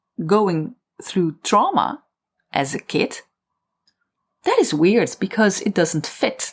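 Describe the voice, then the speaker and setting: Over a very clean recording with a silent background, a woman talks at a medium pitch with lively intonation. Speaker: podcast host and writer. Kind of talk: solo podcast monologue.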